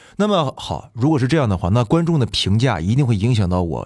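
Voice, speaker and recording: A man of medium pitch speaks with vocal fry and very wide pitch swings. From Fushun, Liaoning, northeast China. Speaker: musical theatre actor, guest co-host. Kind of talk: casual interview chat.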